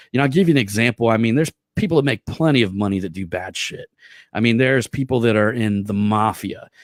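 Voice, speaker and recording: In a very clean recording with a silent background and a dry, close sound with no echo, a man with an American accent talks in an animated tone at a medium pitch with ordinary pitch variation. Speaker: marketing podcast host. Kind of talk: casual monologue. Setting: live stream. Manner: fast.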